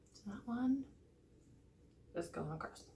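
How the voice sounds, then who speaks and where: Speaking quietly at a fairly slow pace, a woman with a fairly high pitch is heard amid audible room echo. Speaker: vlogger trying to conceive. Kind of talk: casual vlog talking to camera. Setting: at home, early morning. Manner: quiet, hushed.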